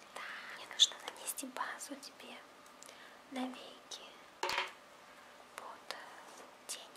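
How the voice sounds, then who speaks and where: A woman whispers at a very slow pace, pausing often and at length. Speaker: ASMR creator. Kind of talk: ASMR roleplay, personal attention makeup. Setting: studio, ear to ear binaural microphone. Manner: whispered, soft. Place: home room. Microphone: phone near.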